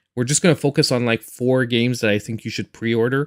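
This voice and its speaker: A man speaks in a Quebec accent with ordinary pitch variation. The sound is dry and close, with no echo. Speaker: gaming YouTuber and streamer. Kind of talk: live stream chat. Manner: halting, repeats words.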